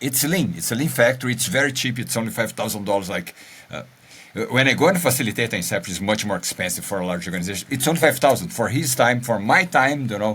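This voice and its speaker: A man at a medium pitch with a Brazilian accent, very fast pace and lively intonation. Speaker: podcast co-host. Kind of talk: casual chat.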